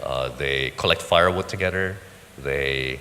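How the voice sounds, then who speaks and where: A man with an American accent, moderate pace and ordinary pitch variation, amid noticeable background noise. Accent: very American. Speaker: business forum panelist. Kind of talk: panel discussion. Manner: halting, many fillers.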